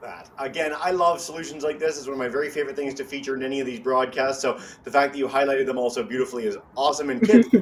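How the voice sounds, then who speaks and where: A man's animated, very fast speech at a fairly high pitch, with ordinary pitch variation, big swings in loudness and noticeable background noise. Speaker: educational webcast host. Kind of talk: educational interview.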